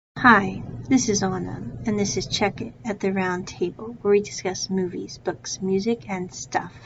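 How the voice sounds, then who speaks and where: At a moderate pace, a woman with an American accent talks at a medium pitch, her voice showing vocal fry. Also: ordinary pitch variation. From United States. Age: 30s. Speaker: podcast host and English teacher. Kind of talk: casual solo podcast monologue. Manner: conversational, animated.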